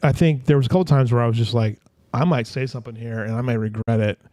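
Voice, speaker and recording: Recorded with a dry, close sound and no echo, a man speaks at medium pitch with ordinary pitch variation. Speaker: livestream news show host. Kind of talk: casual chat. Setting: studio.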